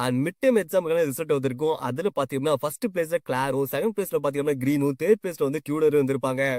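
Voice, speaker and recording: A man talks with a plain, everyday voice at a fairly high pitch, with ordinary pitch variation. The sound is dry and close, with no echo. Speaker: manhwa story explainer. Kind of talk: casual story recap narration. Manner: casual, conversational.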